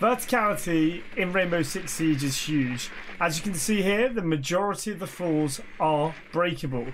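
This man talks at a moderate pace with a British accent and a high pitch, with noticeable background noise behind him. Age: 30s. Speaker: gaming YouTuber. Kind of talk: tutorial. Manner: casual.

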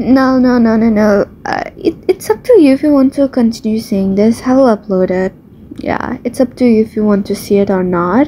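A woman speaks at a moderate pace. Background noise is noticeable. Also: fairly high pitch for a woman, ordinary pitch variation. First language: not English. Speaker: gamer. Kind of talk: casual gameplay commentary. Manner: rambling, repetitive, self-deprecating; animated, playful.

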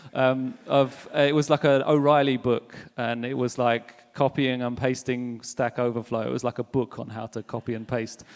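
The background is quiet as a man talks at a moderate pace with hardly any pauses. His medium-pitched voice stays monotone and flat. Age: 30s. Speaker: software engineer, conference speaker; conference speaker. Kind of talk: conference talk. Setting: stage with audience. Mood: humorous, relaxed. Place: hall. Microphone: handheld.

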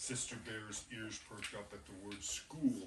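A fairly slow delivery amid noticeable background noise and audible room echo. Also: man. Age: old. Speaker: grandfather reading to preschoolers. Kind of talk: reading aloud.

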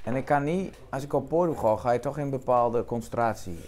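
Over light background noise, a man at medium pitch talks at a fairly quick pace. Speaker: cabaret performer. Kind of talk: casual conversation at a café table. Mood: relaxed, chatty. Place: cafe. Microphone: lapel.

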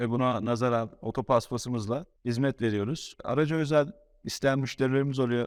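The pace here is moderate, and the pitch varies in an ordinary way. It is an unremarkable speaking voice. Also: man. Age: 20s. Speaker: car wash owner. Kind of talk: casual interview.

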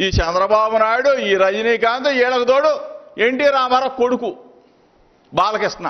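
An angry male voice at an extremely high pitch, very even in loudness, with ordinary pitch variation. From Andhra Pradesh, India. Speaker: state minister, politician; politician at press meet. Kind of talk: press conference tirade. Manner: angry, forceful; repetitive, emphatic. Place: meeting room. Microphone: podium.

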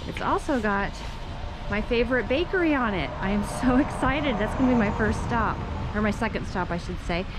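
A woman at a fairly quick pace with lively intonation, amid clear background noise and audible room echo. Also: fairly high pitch for a woman.

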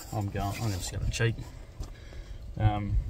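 At a moderate pace, a man talks in a fairly low pitch, the sound dry with no echo and noticeable background noise behind him. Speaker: camping vlogger. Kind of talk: casual vlog chat. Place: open country. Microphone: phone near.

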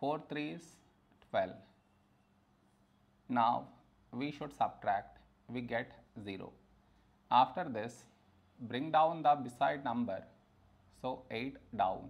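A man's very slow speech with vocal fry, ordinary pitch variation, and long, frequent pauses. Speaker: math teacher. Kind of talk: tutorial. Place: classroom. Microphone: lapel.

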